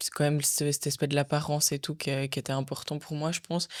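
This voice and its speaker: A woman with a very deep, low pitch is heard on a very clean recording with a silent background. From Switzerland. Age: 20s. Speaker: bodybuilding athlete. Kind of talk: podcast interview.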